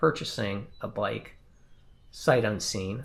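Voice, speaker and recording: A somewhat breathy male voice. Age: 60s. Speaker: cycling video creator. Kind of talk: tutorial. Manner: casual, conversational.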